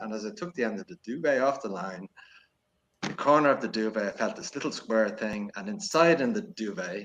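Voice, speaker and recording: A man in a Dublin accent, medium in pitch, with lively intonation at a fairly quick pace. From Ireland, Dublin. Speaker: podcaster. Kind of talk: casual chat. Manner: hesitant, many fillers.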